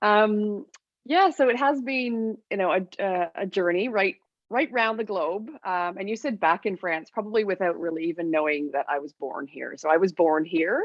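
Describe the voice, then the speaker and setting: The intonation is lively. The pace stays moderate. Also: woman, medium pitch for a woman. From Canada. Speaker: business coach. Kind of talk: interview conversation. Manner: hesitant, many fillers and repeats.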